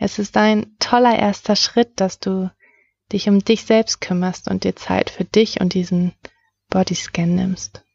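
At a very slow pace, a woman speaks in a somewhat breathy, flat monotone. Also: medium pitch for a woman. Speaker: meditation guide. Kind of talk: guided meditation. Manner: slow, soothing, calm; soft-spoken, gentle.

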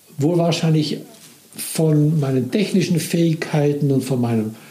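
At a moderate pace, the speech comes through with audible room echo and noticeable background noise. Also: man. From Italy (Milan). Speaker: former business manager telling his life story. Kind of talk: personal testimony. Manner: halting.

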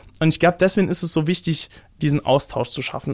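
A man's strong Saarland accent in a dry, close sound with no echo. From Saarland, Germany. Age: 20s. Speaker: musician and activist. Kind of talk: interview. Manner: halting, many fillers.

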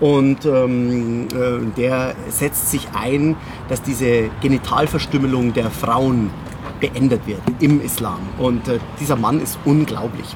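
Noticeable background noise runs under a man talking at a very slow pace. His pitch is medium and his intonation fairly even. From Bavaria, Munich. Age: 40s. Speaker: memory trainer and keynote speaker. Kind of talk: casual interview.

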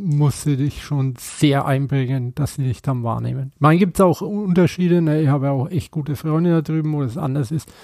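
With a Franconian accent, a man talks at a moderate pace with hardly any pauses, his dark, mellow voice fairly high and showing ordinary pitch variation. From Franconia, Bamberg. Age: 50s. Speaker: tattoo artist. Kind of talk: casual chat. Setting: at home.

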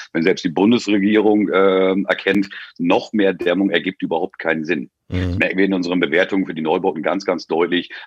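This voice moves at a fairly quick pace with fairly even intonation. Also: man, very deep, low pitch for a man. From northern Germany, near Oldenburg. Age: 40s. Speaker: energy consultant. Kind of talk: casual interview.

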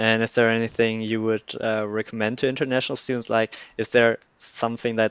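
A man with a German accent talks at a fairly quick pace and medium pitch. His intonation is monotone and flat. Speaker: podcast host. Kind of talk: podcast interview.

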